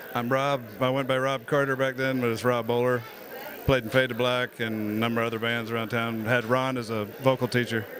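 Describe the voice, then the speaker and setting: A man with an American accent talks at a fairly quick pace and medium pitch, his intonation monotone and flat, with noticeable background noise behind him. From Florida, Lakeland. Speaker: voiceover artist, former band singer. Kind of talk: casual interview. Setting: birthday party at a restaurant.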